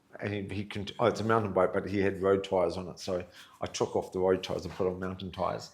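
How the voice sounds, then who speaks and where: A man with a New Zealand accent and a very deep, low pitch, talking at a very fast pace. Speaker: charity founder. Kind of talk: podcast interview. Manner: animated.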